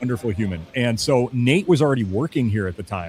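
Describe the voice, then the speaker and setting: Very fast and with lively intonation, a man talks. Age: 40s. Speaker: cigar accessory company sales rep. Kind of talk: casual podcast chat. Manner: rambling with many fillers.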